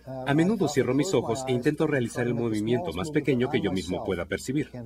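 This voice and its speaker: A man speaks at a fairly quick pace in a medium pitch. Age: 60s. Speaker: physician demonstrating a neurological exam. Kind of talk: clinical demonstration tutorial.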